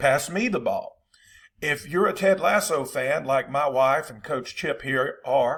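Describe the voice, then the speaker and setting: On a very clean recording with a silent background, a man with a Southern US accent talks at a fairly slow pace. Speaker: football coach. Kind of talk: tutorial. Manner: casual, conversational.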